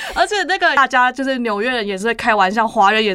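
Very fast speech from a woman with a fairly high pitch, noticeable background noise behind it. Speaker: graphic designer. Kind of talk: casual chat.

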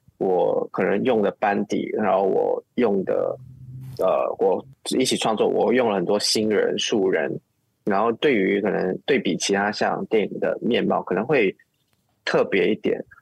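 Fairly slow speech at very even loudness, in a dry, close sound with no echo. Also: man. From Malaysia (Muar). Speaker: film director. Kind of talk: interview. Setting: remote call.

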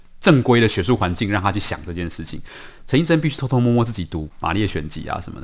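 A man with a Taiwanese accent, fairly low in pitch, with very wide pitch swings, on a very clean recording with a silent background. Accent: Taiwanese Mandarin. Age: young. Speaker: writer. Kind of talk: interview.

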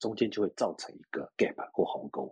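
A man at a moderate pace, the sound dry and close with no echo. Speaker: sales executive in cybersecurity. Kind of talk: interview.

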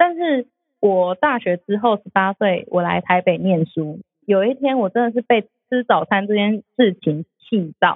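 A woman's plain, everyday voice at medium pitch, with lively intonation and a fairly slow pace. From Taiwan, outside Taipei. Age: 30s. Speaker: food podcast host. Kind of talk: casual chat.

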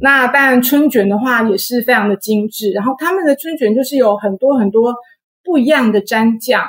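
Speaking at a moderate pace, a woman uses a high pitch with ordinary pitch variation. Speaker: author of books on Vietnam and its food. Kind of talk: interview.

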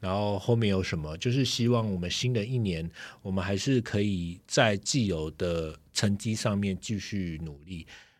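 On a very clean recording with a silent background, a man talks at a moderate pace with a fairly low pitch and ordinary pitch variation. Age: middle-aged. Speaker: podcast co-host, former tech journalist. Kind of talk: casual chat. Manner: many filler words.

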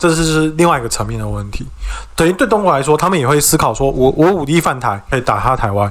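A man talks at a very fast pace with lively intonation and a fairly high pitch. Noticeable background noise can be heard. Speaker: podcast co-host. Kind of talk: casual chat.

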